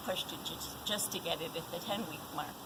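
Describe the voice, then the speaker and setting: Noticeable background noise sits behind a woman who talks fairly fast. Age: 60s. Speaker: wellness testimonial speaker. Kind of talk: testimony.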